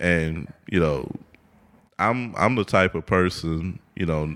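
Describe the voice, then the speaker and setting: On a very clean recording with a silent background, a man with an American accent and a very deep, low pitch speaks at a very slow pace. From Houston, Texas. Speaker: architect and business founder. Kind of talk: casual interview. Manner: hesitant, many fillers.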